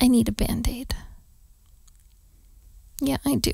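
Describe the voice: A woman speaks slowly in a put-on character voice, fairly high-pitched with vocal fry, a slightly husky edge, a slightly mellow tone and fairly even intonation.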